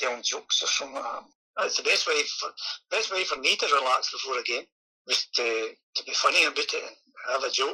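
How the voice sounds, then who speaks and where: Speaking at a fairly quick pace yet with long, frequent pauses, a man talks in a Scottish accent. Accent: Scottish (Ayrshire). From Scotland, Kilmarnock, Ayrshire. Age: 60s. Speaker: retired footballer. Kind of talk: interview. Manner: halting.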